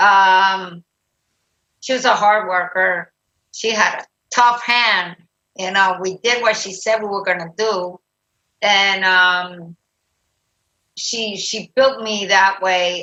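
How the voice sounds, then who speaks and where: Speaking with a Spanish accent, a woman uses a medium-pitched voice and fairly even intonation. Her pace is very slow, with long, frequent pauses. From Puerto Rico. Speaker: retired army general and nurse. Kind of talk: interview.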